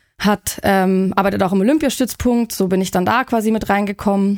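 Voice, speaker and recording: A woman speaks at a medium pitch and moderate pace, with ordinary pitch variation. The recording is very clean, with a silent background. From Germany, Munich. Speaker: sports nutritionist. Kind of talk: casual interview.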